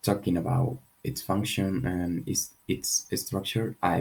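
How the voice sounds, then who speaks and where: Quiet and very deep in pitch, a man speaks with ordinary pitch variation. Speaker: English teacher. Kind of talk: tutorial. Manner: slow.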